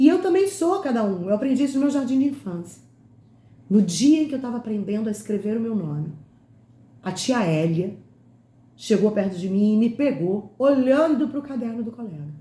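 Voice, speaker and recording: A woman with a fairly high pitch and a dark, mellow, somewhat breathy tone speaks at a moderate pace, with very wide pitch swings. Long, frequent pauses break her speech, and room echo is audible. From Rio de Janeiro state, Brazil (Itaguaí, Nova Iguaçu). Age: 50s. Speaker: educator and lecturer. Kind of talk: lecture. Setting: online talk.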